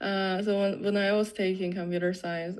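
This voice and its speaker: A woman speaks with a non-native accent in a fairly low pitch. Her intonation stays fairly even. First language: not English. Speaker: software developer. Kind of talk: interview. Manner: halting, many fillers.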